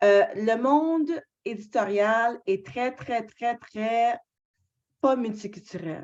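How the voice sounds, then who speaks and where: Very slowly and with long, frequent pauses, a woman speaks in a fairly high voice with lively intonation. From Canada. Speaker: book club moderator. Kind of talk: moderated discussion.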